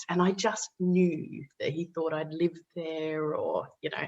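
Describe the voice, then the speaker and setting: The speaker is a woman. She has an Australian accent. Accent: Australian, retained. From Western Australia (Perth). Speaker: author and former political adviser. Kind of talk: podcast interview, personal story. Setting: podcast recording.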